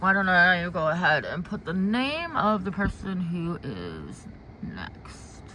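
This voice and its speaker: A woman with an American accent at medium pitch and ordinary pitch variation, very slow in pace, over noticeable background noise. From US Midwest. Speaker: intuitive card reader. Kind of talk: livestream chat. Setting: outdoors in garden. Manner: halting.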